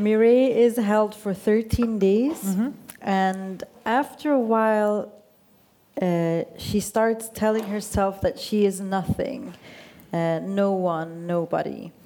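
A woman's medium-pitched voice with a Swedish accent, a dark, mellow tone, ordinary pitch variation and a very slow pace. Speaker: radio journalist. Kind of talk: onstage interview. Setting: stage with audience.

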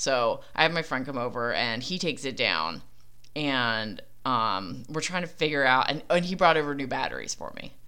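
A woman with a Philadelphia accent has a very deep, low pitch and a bright, sharp tone. She talks at a moderate pace. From Philadelphia, US. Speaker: podcaster. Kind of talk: casual solo monologue. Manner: casual, filler-heavy.

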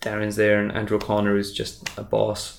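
A man with a Welsh accent speaks at a fairly low pitch. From Wales, small town. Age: 30s. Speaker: magician. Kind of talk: casual interview. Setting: in person.

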